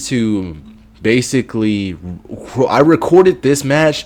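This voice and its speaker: Loud and fairly slow, a man talks at a medium pitch with very wide pitch swings. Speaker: gaming youtuber and streamer. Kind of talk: gameplay commentary. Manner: halting, repetitive stammering.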